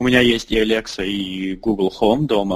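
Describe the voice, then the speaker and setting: A man's intonation remains fairly even as he talks at a moderate pace. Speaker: startup founder and CEO. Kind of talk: interview.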